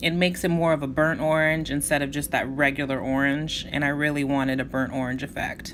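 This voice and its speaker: A woman talks in a very deep, low pitch with monotone, flat intonation at a fairly quick pace. She hardly pauses, and audible room echo surrounds her voice. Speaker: beauty vlogger. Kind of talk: makeup tutorial. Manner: casual, chatty; fast.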